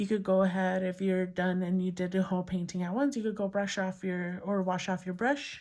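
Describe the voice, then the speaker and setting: With a normal speaking voice, a woman talks at a fairly quick pace and medium pitch, hardly pausing, her intonation fairly even. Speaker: crafting youtuber. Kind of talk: tutorial. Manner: casual.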